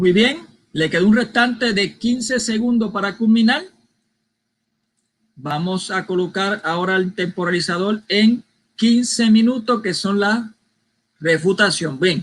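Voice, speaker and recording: Pausing long and often, a man with a high voice speaks at a fairly slow pace with ordinary pitch variation. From Puerto Rico. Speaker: debate moderator. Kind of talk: debate moderation.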